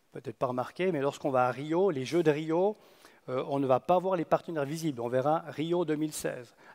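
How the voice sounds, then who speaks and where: Very fast and fairly high-pitched with ordinary pitch variation, a man's voice comes through a very clean recording with a silent background and a dry, close sound with no echo. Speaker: conference speaker, youth olympic games organiser. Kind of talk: conference talk. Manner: halting.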